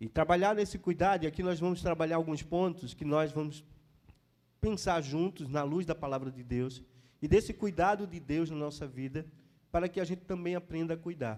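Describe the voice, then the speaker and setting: A man speaks at a moderate pace with a Pernambuco accent. His pitch is fairly high, with ordinary variation. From Pernambuco, northeastern Brazil. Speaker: pastor. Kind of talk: sermon. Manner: halting, with frequent fillers.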